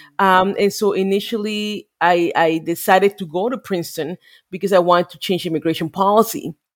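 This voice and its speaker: On a very clean recording with a silent background and a dry, close, echo-free sound, a woman with a Spanish accent speaks fairly quickly at medium pitch, with ordinary pitch variation and big swings in loudness. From Mexico. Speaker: immigration lawyer and congressional district director. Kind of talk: interview.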